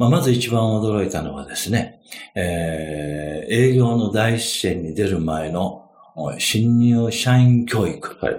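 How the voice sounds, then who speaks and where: This man speaks at a very slow pace. His medium-pitched voice has lively intonation. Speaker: finance consultant. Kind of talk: interview storytelling. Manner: many fillers, relaxed pace.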